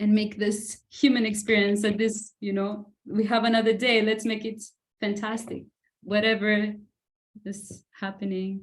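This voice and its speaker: Speaking in a Greek accent, a woman has a fairly high, somewhat breathy voice. Her pace is fairly slow and her intonation is monotone and flat. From Greece. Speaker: self-love coach and healer. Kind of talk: podcast interview.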